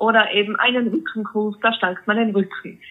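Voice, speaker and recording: Her pitch sits in the middle range. The woman's intonation is fairly even. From Austria, Tyrol (Innsbruck). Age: 30s. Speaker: fitness coach for grieving people. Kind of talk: interview.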